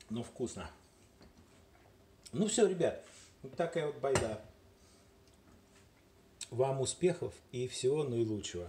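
Through noticeable background noise, a man speaks very slowly and somewhat breathily, with long, frequent pauses, very wide pitch swings and big shifts in loudness. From Moscow, Russia. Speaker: home video maker. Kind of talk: casual vlog talk to camera. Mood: joking, playful. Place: kitchen. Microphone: phone near.

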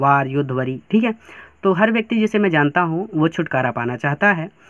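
A man talks in a high voice. His intonation is lively. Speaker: teacher. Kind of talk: lecture. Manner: slow.

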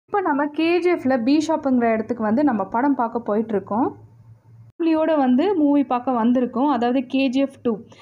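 A woman speaks at a high pitch with ordinary pitch variation. Her loudness stays very even. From India, Kolar Gold Fields (Karnataka), Tamil-speaking. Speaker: YouTuber. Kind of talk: casual vlog narration. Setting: outside and inside a cinema theatre.

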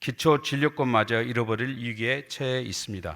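A man's bright, sharp tone at a medium pitch, moderate pace and ordinary pitch variation, in a very clean recording with a silent background. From Hwasun, South Jeolla, Korea. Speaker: provincial council member. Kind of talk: formal council speech. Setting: council chamber with audience. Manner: formal.

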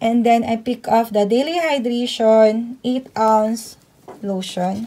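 Very slow speech over light background noise. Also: woman. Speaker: couponing vlogger. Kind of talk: product haul walkthrough. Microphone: phone near.

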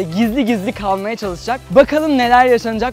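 A man's high voice, dry with no echo, over faint background music. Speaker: vlogger. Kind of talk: casual vlog intro. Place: street.

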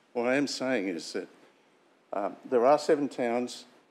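This speaker has an Australian accent and talks at a very slow pace. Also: man. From Sunshine Coast hinterland, Queensland, Australia; Queensland, Australia. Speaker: local councillor. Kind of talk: formal speech. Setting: council chamber. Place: meeting room.

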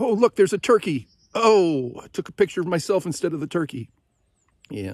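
The man speaks at a moderate pace. His sound is dry with no echo, over a quiet background. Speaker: long-distance hiker vlogger. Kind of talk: casual vlog chat. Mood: reflective, musing. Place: forest. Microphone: phone near.

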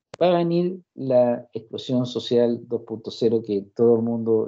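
A man with a Chilean accent at a fairly slow pace over a quiet background. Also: hardly any pauses. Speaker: university lecturer. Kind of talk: lecture. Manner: animated. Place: home room. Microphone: video call.

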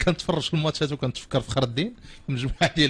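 The background stays quiet. A man's voice is heard. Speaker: radio show host. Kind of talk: radio sports talk show. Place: studio.

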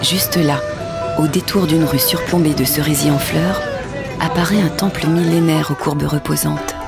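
The speaker talks at a moderate pace. Loud music plays behind a dry sound that has no echo. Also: woman. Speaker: voice actor. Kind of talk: travel narration, voice-over demo. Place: studio. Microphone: studio mic.

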